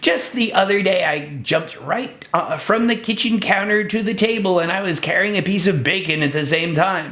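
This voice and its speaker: This is a put-on character voice at middle pitch. The pace is moderate. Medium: read story. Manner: eager.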